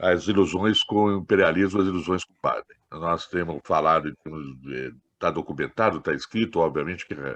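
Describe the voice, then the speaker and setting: A man speaks in a very deep, low pitch, with a dry, close sound and no echo. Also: ordinary pitch variation, moderate pace. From Minas Gerais, Brazil. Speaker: political activist. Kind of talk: meeting discussion contribution.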